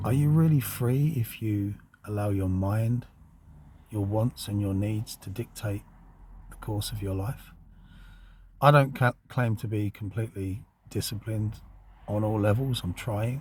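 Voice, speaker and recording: With long, frequent pauses, a man speaks at a fairly slow pace in a fairly low, somewhat breathy voice with ordinary pitch variation. The recording is very clean, with a silent background. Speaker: occult channel host. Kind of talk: spiritual monologue. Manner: reflective, slow.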